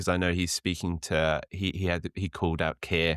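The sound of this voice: Heard in a dry, close sound with no echo on a very clean recording with a silent background, a man with a low pitch and little pitch movement talks at a moderate pace in a fairly bright, clear, smooth tone.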